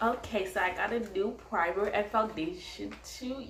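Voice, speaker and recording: Noticeable background noise and audible room echo fill the recording. A woman with a medium pitch speaks at a fairly slow pace with fairly even intonation. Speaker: beauty vlogger. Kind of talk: tutorial. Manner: casual, chatty.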